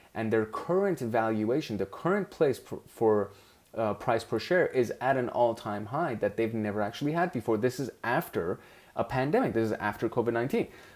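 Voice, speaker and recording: On a very clean recording with a silent background, a speaker with a non-native accent talks at a moderate pace with lively intonation. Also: man, medium pitch for a man. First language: not English. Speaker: investing show host. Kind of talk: screen-share commentary on stock charts. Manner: casual, with fillers and self-corrections.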